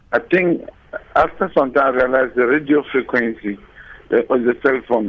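A man at medium pitch talks at a moderate pace. There is noticeable background noise. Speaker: caller, business owner. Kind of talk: radio call-in question. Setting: phone call. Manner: halting.

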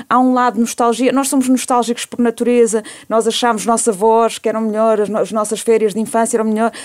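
Delivered at a very fast pace with hardly any pauses, the voice stays monotone and flat throughout. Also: woman, fairly high pitch for a woman. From Portugal. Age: 40s. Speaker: debate guest. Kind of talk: radio panel discussion. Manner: halting, many repetitions.

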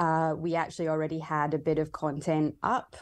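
A woman's very deep, low voice, flat and monotone at a moderate pace, against a quiet background. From Scotland. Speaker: bartender and cocktail book author. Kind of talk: interview.

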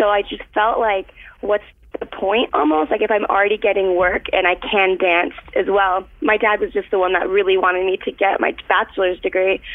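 An ordinary speaking voice, a woman with an American accent at medium pitch and moderate pace, with very even loudness and fairly even intonation. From Florida. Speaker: dancer. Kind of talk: casual chat.

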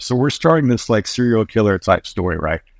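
A man with an American accent talks at a fairly quick pace in a normal speaking voice with ordinary pitch variation, in a dry, close sound with no echo against a quiet background. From US, North Carolina. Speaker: screenwriter and filmmaker. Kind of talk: casual interview.

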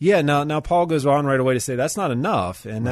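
An American accent on a man's voice, its pitch swinging very widely. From Pittsburgh, Pennsylvania. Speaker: pastor. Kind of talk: radio interview.

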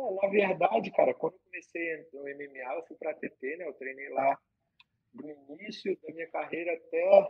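The loudness swings widely while the pace stays moderate. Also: man. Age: 30s. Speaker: MMA fighter, jiu-jitsu champion. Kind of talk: casual interview. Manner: halting, repetitive.

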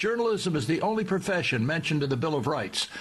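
Lively intonation colors what is otherwise an unremarkable speaking voice. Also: man. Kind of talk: news commentary read from a script, brief radio editorial. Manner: formal, measured, steady newsreader delivery, serious and opinionated.

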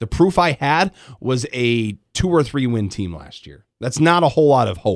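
Over a quiet background, a man of medium pitch speaks with an American accent, his voice making very wide pitch swings and big swings in loudness, the sound dry and close with no echo. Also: moderate pace. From Michigan, Grand Rapids. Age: 30s. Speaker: sports radio host. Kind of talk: casual sports chat.

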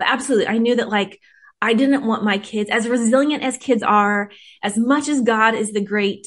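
A woman talks at a moderate pace. She has an ordinary speaking voice with ordinary pitch variation. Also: quiet background. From US West Coast (Whittier, California). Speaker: author. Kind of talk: interview.

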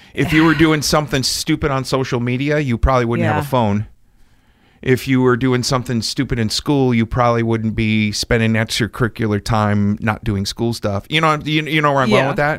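With a normal speaking voice, this man keeps to a moderate pace, a medium pitch, and ordinary pitch variation. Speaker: podcast host.

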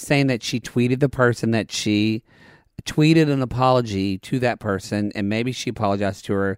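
In a dry, close recording with no echo and a silent background, a man speaks at a moderate pace and medium pitch in an animated tone with ordinary pitch variation. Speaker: podcast host. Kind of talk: casual chat, recap banter. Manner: animated, jokey.

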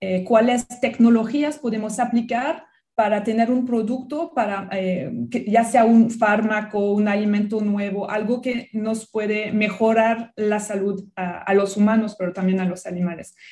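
With a French accent, a woman speaks at a fairly slow pace in a fairly high pitch, her voice somewhat breathy with a dark, mellow tone and fairly even intonation. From France. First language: French (speaking Spanish). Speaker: biology researcher and professor. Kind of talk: radio interview.

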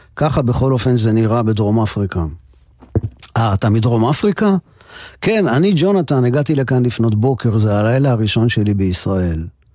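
Medium-pitched male speech, dark and mellow in tone, with lively intonation, very even loudness and a moderate pace, on a very clean recording with a silent background. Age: 60s. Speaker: radio host. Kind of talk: radio music show narration.

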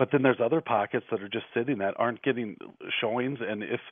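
This is a normal speaking voice from a man with an American accent. His pitch is medium, with ordinary variation. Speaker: real estate agent, radio co-host. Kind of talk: casual radio talk show chat. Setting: phone call.

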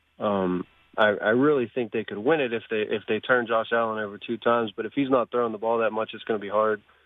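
Speaking at a very fast pace, a man with an American accent has a medium-pitched voice. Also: fairly even intonation. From Pennsylvania, US. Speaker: caller. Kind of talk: casual chat. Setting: phone call.

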